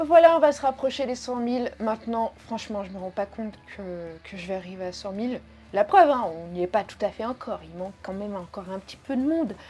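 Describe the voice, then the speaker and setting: Her loudness swings widely as a woman speaks with fairly high pitch and lively intonation. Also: fairly quick pace. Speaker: sewing YouTuber. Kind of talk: casual FAQ vlog. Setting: home video recording with dog present. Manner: animated, playful.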